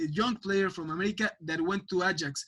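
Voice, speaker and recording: The tone is bright and sharp. A man projects his raised voice. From Mexico, Mexico City. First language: Spanish. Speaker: football pundit. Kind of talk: podcast interview. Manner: halting, many repetitions.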